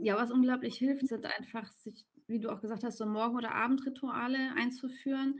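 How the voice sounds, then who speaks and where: A high-pitched woman talks at a fairly quick pace in a monotone, flat way. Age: 40s. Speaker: commuting coach. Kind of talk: interview.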